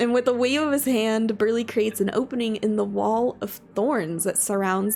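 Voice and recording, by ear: Pitch rises and falls in an ordinary way. It is reading aloud in a natural voice.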